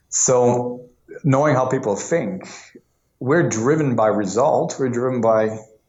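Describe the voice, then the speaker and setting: With an American accent, a man speaks fairly slowly at a medium pitch with ordinary pitch variation, and room echo can be heard. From US Northeast, New York. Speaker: lean coach. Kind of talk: interview. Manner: halting, with many restarts.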